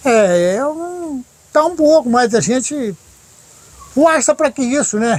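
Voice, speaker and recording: A man speaks at an extremely high pitch. His pace is very slow, with long, frequent pauses. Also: lively intonation. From Brazil, São Paulo–Minas Gerais border. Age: 60s. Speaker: sculptor and storyteller. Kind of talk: interview, casual storytelling.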